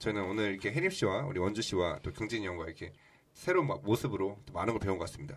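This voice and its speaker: A man with a fairly low voice rushes along at a very fast pace, his intonation lively. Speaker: actor. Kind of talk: casual chat. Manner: playful.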